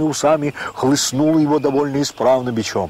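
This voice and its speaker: A man talks at a fairly high pitch over noticeable background noise. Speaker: audiobook narrator. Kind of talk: audiobook narration of classic literature.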